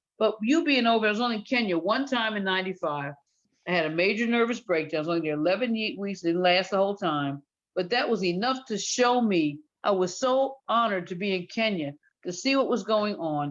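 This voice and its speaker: Speech moves at a fairly quick pace with lively intonation. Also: woman, medium pitch for a woman. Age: 60s. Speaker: retired teacher, discussion participant. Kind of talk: casual group discussion.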